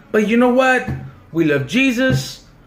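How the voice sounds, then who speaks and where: With audible room echo, a man speaks loud in an extremely high pitch, with an animated tone and lively intonation at a moderate pace. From Southern California, Mexican-American community. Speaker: vlogger. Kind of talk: casual storytelling monologue.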